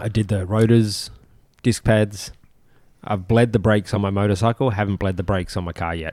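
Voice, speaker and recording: In a very clean recording with a silent background, a man with an ordinary speaking voice talks at a fairly low pitch and fairly even intonation. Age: 40s. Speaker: podcast co-host, fitness enthusiast. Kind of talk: casual chat.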